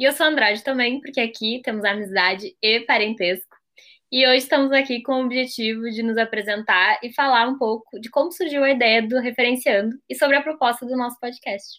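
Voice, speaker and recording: Her pitch is high, with ordinary pitch variation. The woman speaks at a fairly quick pace. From southern Brazil, Pelotas. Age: 20s. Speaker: podcast co-host, university student. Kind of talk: casual chat.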